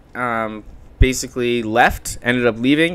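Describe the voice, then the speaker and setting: With a Canadian accent, a man with an ordinary speaking voice talks at a fairly slow pace. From Ontario, Canada (Chatham, London). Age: 20s. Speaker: marketing business founder. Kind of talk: podcast interview. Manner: casual, filler-heavy.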